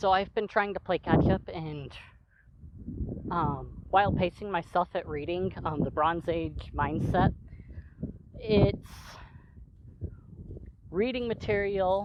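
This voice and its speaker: Amid noticeable background noise, a woman speaks at a very slow pace with long, frequent pauses. Her fairly low pitch shows ordinary variation. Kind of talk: casual talk to camera. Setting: outdoors.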